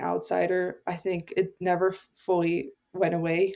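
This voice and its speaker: A woman's fairly low-pitched voice. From immigrant family, grew up partly in Canada. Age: 20s. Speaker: podcast host, guest. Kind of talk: casual chat.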